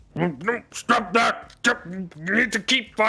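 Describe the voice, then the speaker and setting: Loud and growling, a put-on character voice moves along at a fairly slow pace. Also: man, high pitch for a man. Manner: commanding.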